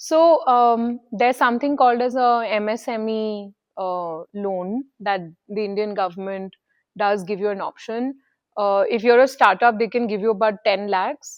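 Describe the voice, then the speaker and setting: At a moderate pace, a woman talks in a fairly high pitch with ordinary pitch variation. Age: 30s. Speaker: business founder. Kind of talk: interview. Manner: hesitant, many fillers.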